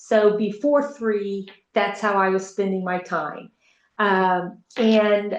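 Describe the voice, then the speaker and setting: Fairly high in pitch, a woman speaks with an American accent. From Texas. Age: 60s. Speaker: retired school teacher, product testimonial giver. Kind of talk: testimony.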